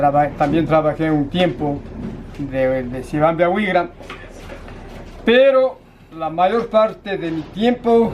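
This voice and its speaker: A man's high-pitched voice at a very slow pace, with lively intonation, long, frequent pauses, and noticeable background noise. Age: 60s. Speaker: retired railway telecom technician. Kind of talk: oral history interview. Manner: halting.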